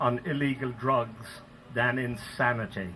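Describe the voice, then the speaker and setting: Noticeable noise is audible behind the voice. The man talks with an American accent. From Ireland. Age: 70s. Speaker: activist. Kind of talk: public speech.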